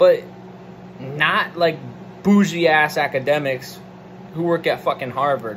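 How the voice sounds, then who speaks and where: With light background noise, a man speaks at a fairly slow pace in a fairly high voice, using ordinary pitch variation and long, frequent pauses. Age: 20s. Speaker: political commentator. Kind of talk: solo monologue rant. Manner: animated; hesitant fillers. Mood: irritated, profane rant. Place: home room. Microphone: phone near.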